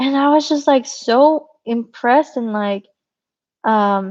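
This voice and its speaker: Her voice high in pitch with ordinary pitch variation, a woman speaks at a very slow pace in a dry, close sound with no echo. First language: Spanish. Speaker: biomedical engineer and channel host. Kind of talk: live stream Q&A chat. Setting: YouTube live stream. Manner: casual, many fillers.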